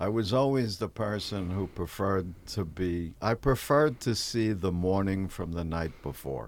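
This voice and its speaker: This man has a very deep, low pitch and a New York accent. His intonation is lively, his pace moderate, and the recording is very clean with a silent background. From New York City. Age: 70s. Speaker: stand-up comedian. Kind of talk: casual interview chat with anecdotes.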